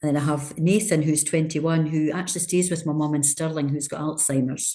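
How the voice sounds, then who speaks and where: A woman with a Scottish accent speaks in a very deep, low voice with a dark, mellow tone. Her pace is fairly quick and her intonation fairly even. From Scotland. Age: 60s. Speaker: charity leader. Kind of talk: interview.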